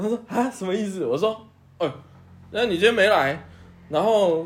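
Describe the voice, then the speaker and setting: Here a man is talking. His pace is fairly quick. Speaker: podcast co-host. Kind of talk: casual chat.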